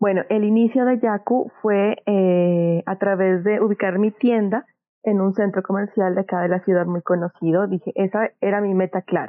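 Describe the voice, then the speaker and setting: The voice is a normal speaking voice with very even loudness. Intonation stays fairly even at a moderate pace. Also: woman, medium pitch for a woman. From Colombia, Pasto (Nariño). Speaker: small business owner, art supplies shop. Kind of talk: interview.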